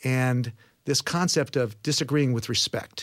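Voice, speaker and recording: The voice has an American accent and is heard in a very clean recording with a silent background. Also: man. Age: 50s. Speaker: radio host. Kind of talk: interview.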